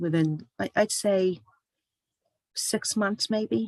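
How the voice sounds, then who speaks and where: A woman speaks very slowly at a medium pitch. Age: 60s. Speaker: author and health speaker. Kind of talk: personal testimony talk. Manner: hesitant with many fillers.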